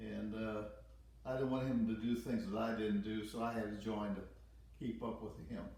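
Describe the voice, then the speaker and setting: An American-accented man speaks at a moderate pace in a monotone, flat intonation and medium pitch. His tone is dark and mellow, and the room echo is audible. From US Midwest, St. Louis, Missouri. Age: 90s. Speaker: war veteran. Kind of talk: interview.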